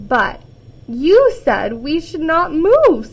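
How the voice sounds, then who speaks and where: A woman puts on a character voice at an extremely high pitch. Her pitch swings very wide. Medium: read story.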